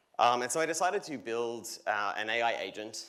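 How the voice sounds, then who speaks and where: In a room with audible echo, a man with a bright, sharp tone speaks with ordinary pitch variation. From Australia. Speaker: solutions architect. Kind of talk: conference keynote demo. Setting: stage with audience. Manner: energetic.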